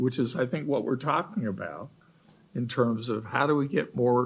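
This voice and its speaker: With ordinary pitch variation, the speech sounds somewhat breathy. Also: man. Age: 70s. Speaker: panelist on aging policy. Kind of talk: panel discussion.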